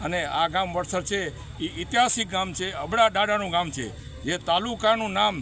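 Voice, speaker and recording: A man speaks in a raised, projected voice at a high pitch with ordinary pitch variation. Noticeable background noise is present. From Kutch, Gujarat. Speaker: retired police officer. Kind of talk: interview statement. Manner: halting.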